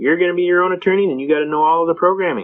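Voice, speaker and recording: A man talking at a very fast clip. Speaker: constitutional rights lecturer. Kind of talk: lecture. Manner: animated storytelling.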